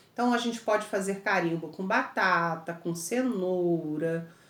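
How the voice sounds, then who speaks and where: A woman speaks in a room with audible echo. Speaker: teacher. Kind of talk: lecture.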